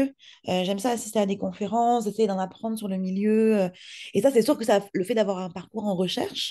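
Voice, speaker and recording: A woman talks at a fairly quick pace in a dark, mellow tone, with a quiet background. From France. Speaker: podcast producer, entrepreneur; podcast producer. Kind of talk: interview. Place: home room. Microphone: video call.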